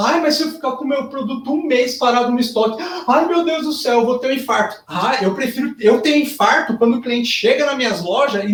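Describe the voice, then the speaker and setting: This man's voice is extremely high-pitched and animated in tone. He talks at a fairly quick pace with lively intonation. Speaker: fashion business consultant. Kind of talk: lecture.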